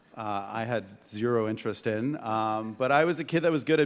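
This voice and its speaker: In a very clean recording with a silent background, a man speaks at a moderate pace in a Canadian accent. His is an unremarkable speaking voice, fairly low in pitch, with ordinary pitch variation. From Canada, Hamilton, Ontario. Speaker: tech entrepreneur. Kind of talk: panel discussion.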